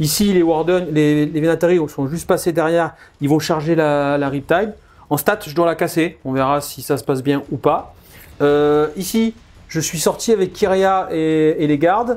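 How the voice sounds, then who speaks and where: This man has an unremarkable speaking voice at a fairly high pitch. He talks at a fairly slow pace with ordinary pitch variation. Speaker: wargame player. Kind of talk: game commentary.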